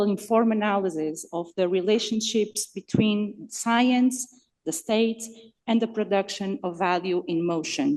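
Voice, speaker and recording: A woman with a non-native accent and a dark, mellow tone, at a fairly slow pace. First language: not English. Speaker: conference speaker. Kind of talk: academic talk partly read from text. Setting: conference hall with audience. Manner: hesitant, with fillers.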